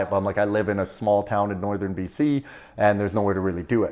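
A dark, mellow tone in a Canadian accent at a very fast pace, very clean recording over a silent background. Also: man. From Canada, Prince George, British Columbia. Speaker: stand-up comedian, former pulp mill worker. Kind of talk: casual interview. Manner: casual, uses dude and man often.

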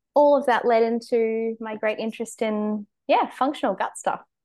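Over a quiet background, a woman with an Australian accent talks at a moderate pace. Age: 20s. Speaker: dietitian. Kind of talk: casual interview chat. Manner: hesitant, many fillers.

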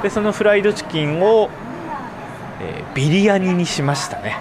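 With lively intonation and a high pitch, a man speaks at a moderate pace through noticeable background noise and audible room echo. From Sapporo, Hokkaido. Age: 30s. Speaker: podcast host. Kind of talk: casual monologue.

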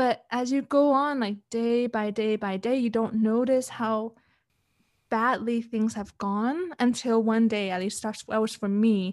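A woman with a Canadian accent has an ordinary speaking voice and a fairly high pitch. She goes at a fairly slow pace with fairly even intonation. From Canada. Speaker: relationship coach. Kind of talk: interview. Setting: video call.

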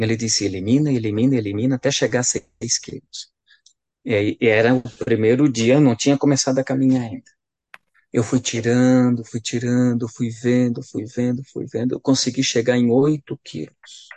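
A man with a medium pitch and an ordinary speaking voice, fairly even intonation, a moderate pace, and a dry, close sound with no echo. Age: 40s. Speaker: priest. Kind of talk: casual chat.

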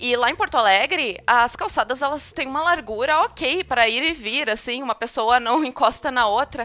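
A woman speaks at a moderate pace in a high pitch, with ordinary pitch variation. Her tone is bright and sharp, and she hardly pauses at all. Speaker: podcast host. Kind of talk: casual chat.

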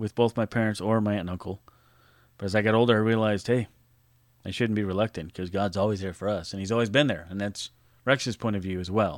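With an American accent, a man speaks very fast at a fairly low pitch with fairly even intonation and long, frequent pauses, in a very clean, silent, dry and close recording with no echo. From California. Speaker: podcast host. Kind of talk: memorial tribute monologue.

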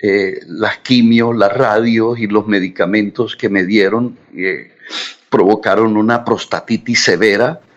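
A man at a very slow pace, fairly low in pitch, with fairly even intonation. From Colombian Caribbean coast, Barranquilla. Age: 60s. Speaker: journalist. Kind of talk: interview. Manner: halting.

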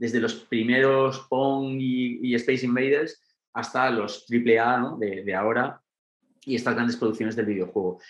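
This is a normal speaking voice from a man at medium pitch. His pace is fairly slow and his intonation fairly even. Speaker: documentary director. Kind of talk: interview.

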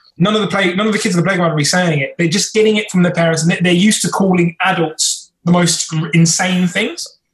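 Speaking fairly quickly with hardly any pauses, a man keeps a high pitch and fairly even intonation. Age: 20s. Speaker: YouTuber, former teaching assistant. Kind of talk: casual chat.

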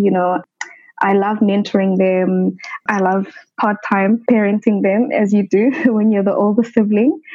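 With a Lesotho accent, the speaker goes at a fairly slow pace using fairly even intonation. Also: woman. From South Africa, Soweto (Johannesburg). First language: Sesotho. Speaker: medical doctor. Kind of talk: interview.

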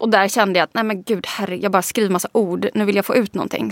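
Speaking very fast at a medium pitch, a woman uses vocal fry, recorded with a dry, close sound and no echo. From Sweden, Småland. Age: 30s. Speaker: digital strategist and author. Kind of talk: interview conversation. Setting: studio.

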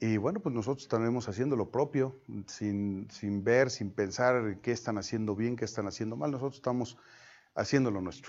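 A man speaks in an unremarkable speaking voice at a medium pitch. His pace is moderate and his pitch variation ordinary. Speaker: mayor running for reelection. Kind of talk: interview.

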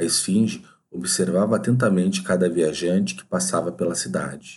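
A man talks at a moderate pace in a very deep, low voice. His intonation is lively. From southern Brazil, Porto Alegre. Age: 40s. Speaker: podcaster. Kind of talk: scripted narration.

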